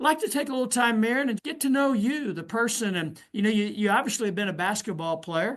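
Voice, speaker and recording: With a Southern Indiana accent, a man speaks very fast at a high pitch, with lively intonation and hardly any pauses. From US Midwest, southern Indiana. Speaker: podcast host. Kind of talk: interview.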